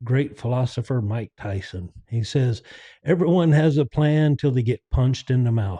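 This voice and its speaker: Somewhat breathy with a dark, mellow tone, the voice uses lively intonation at a fairly slow pace, with a dry, close sound with no echo and a quiet background. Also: man. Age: 60s. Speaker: podcast host. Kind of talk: casual monologue.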